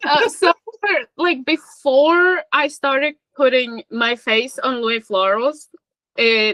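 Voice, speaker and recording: A woman with a high pitch and a bright, sharp tone speaks very slowly in a raised, projected voice, her intonation lively and the sound dry and close with no echo. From Czech Republic. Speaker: fan account admin. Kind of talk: casual chat.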